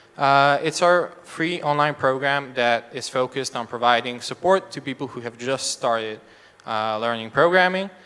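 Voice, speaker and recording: A man with a Serbian accent, medium pitch, and a moderate pace. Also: ordinary pitch variation. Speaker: education nonprofit representative. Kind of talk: stage presentation. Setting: stage with audience. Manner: halting.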